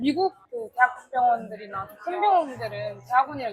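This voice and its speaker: Lively intonation marks a woman's high voice. Noticeable background noise sits behind her. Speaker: nursing student. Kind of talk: casual interview chat.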